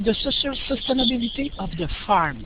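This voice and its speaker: A woman speaks with a Quebec accent and ordinary pitch variation. Audible room echo surrounds her voice. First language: French. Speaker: professor, researcher. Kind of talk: lecture. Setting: online webinar. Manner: halting.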